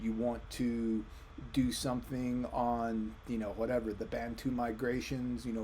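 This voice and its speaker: A man speaks at medium pitch and a moderate pace, his tone dark and mellow. His intonation stays fairly even, and the room echo is audible. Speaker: history professor. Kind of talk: recorded lecture. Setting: recorded video for online course. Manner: casual.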